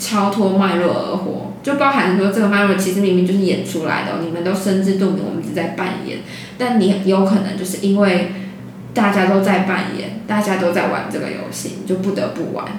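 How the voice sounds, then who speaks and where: With audible room echo and noticeable background noise, a woman talks at a fairly quick pace in a medium pitch with fairly even intonation. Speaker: podcast host. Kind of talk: casual chat.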